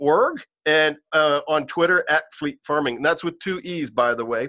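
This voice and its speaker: Over a quiet background, a man talks at a moderate pace. His intonation is lively. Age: 50s. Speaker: podcast host. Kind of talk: casual interview.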